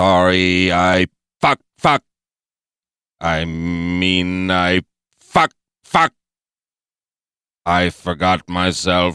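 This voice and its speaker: A put-on, robotic character voice from a man, very deep and low, monotone and flat, very slow with long, frequent pauses, dry and close with no echo. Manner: blurts obscene tics, nervous then cocky.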